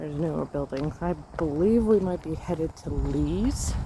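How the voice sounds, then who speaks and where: The voice is soft-spoken and moves at a fairly slow pace. Noticeable background noise sits behind it. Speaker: walking vlogger. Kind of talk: casual walking vlog narration. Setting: outdoors on a riverside path. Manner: soft-spoken, quiet. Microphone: voice may be too quiet.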